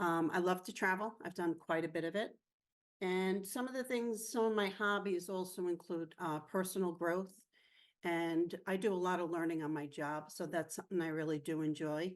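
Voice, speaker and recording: This is a normal speaking voice, with ordinary pitch variation and a moderate pace. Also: woman, fairly low pitch for a woman. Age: 50s. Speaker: mental health peer presenter. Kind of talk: personal testimony.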